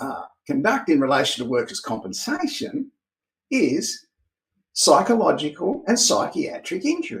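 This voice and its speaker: A man with an Australian accent speaks at a moderate pace. His pitch swings very widely. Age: 60s. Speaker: private investigator and trainer. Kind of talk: interview answers, explanatory monologue.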